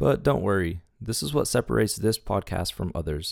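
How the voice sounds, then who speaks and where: A man's very deep, low voice with vocal fry and very wide pitch swings, at a moderate pace, in a very clean recording with a silent background. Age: 20s. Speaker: podcast host, fitness intern. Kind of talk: scripted podcast trailer.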